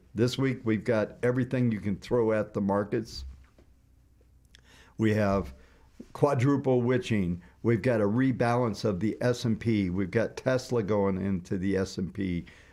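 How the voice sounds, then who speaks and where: With an American accent and a dark, mellow tone, a man speaks at a fairly slow pace on a very clean recording with a silent background. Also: ordinary pitch variation. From US Midwest, northern Indiana. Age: 60s. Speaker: market analyst. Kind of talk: live market commentary stream. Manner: casual, conversational with fillers.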